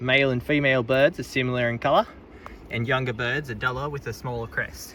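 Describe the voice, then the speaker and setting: A man with an Australian accent talks at a fairly quick pace, his medium-pitched voice keeping fairly even intonation. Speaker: vlogger. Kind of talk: reading signs aloud.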